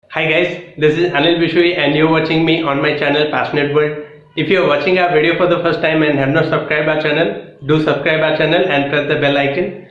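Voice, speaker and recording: With audible room echo and noticeable background noise, a man speaks at a fairly quick pace, hardly pausing, at very even loudness and in a flat monotone. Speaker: exam coaching YouTuber. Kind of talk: lecture. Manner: halting, with fillers.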